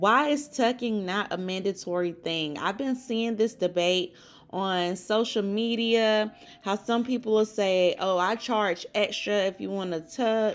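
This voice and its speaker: At a fairly slow pace, a woman speaks in an animated tone at a medium pitch with ordinary pitch variation. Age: 20s. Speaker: hair braider and cosmetologist. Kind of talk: tutorial.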